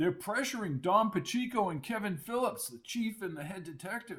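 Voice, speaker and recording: A man's put-on character voice, high in pitch, with lively intonation, a moderate pace and big swings in loudness. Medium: read story. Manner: good-humored, teasing.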